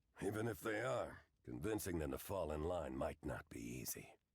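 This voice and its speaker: In a put-on character voice, a man speaks at a moderate pace, very deep, low and raspy. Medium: video game. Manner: wry, casual.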